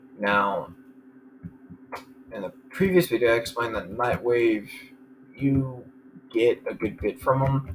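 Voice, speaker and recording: A man talks while noticeable noise runs behind him. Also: long, frequent pauses. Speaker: gaming video creator. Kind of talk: gameplay commentary. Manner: level, even volume.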